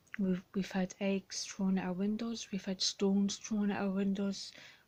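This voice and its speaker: Her voice is medium-pitched and somewhat breathy, with monotone, flat intonation. The woman keeps a moderate pace. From Ireland. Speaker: blind vlogger. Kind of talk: personal vlog. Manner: halting, many fillers.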